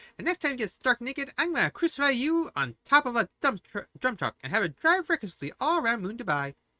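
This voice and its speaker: In a put-on character voice, a woman rattles along at a very fast pace, her pitch high. Her voice swings very widely in pitch over a very clean recording with a silent background. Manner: crazy, hysterical.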